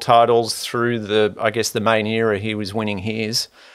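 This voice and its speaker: Here a man speaks with an Australian accent. His pitch is medium and his pace moderate. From Sydney, Australia. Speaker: podcast host. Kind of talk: casual interview. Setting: hotel room.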